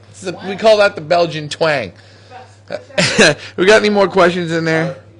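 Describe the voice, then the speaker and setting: With noticeable background noise, a man speaks in an animated tone at a high pitch and a moderate pace. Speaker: pigeon auction host. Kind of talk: casual chat. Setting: facebook live show at a pigeon loft.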